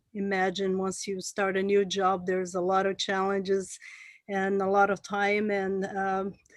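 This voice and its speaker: A woman speaks with a Brazilian Portuguese accent. Her pitch sits in the medium range. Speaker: port manager. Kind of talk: presentation. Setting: video call. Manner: halting.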